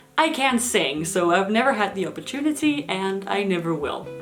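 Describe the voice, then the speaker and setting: Speaking with a Danish accent, a woman uses lively intonation at a moderate pace over noticeable background noise. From Denmark. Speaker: YouTuber. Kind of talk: casual Q&A vlog. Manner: animated.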